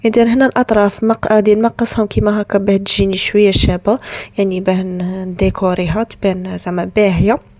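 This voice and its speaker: With an Algerian accent, a woman speaks at a moderate pace and medium pitch with fairly even intonation and hardly any pauses, in a dry, close sound with no echo. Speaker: lifestyle vlogger, bride-to-be. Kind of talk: tutorial. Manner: casual, hesitant with restarts.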